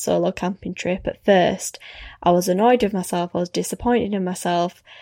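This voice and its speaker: A woman with a normal speaking voice, medium pitch and fairly even intonation, in a dry, close sound with no echo. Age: 20s. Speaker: podcast host. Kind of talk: casual chat.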